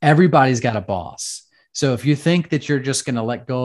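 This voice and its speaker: An unremarkable speaking voice with an American accent moves at a fairly quick pace, with ordinary pitch variation. The background is quiet. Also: man. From United States. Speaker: former fighter pilot and business coach. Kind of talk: casual interview.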